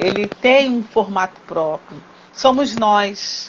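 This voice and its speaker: This woman has an unremarkable speaking voice, pitched fairly high. Her intonation is lively. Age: 60s. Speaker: teacher and craftswoman. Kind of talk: interview conversation.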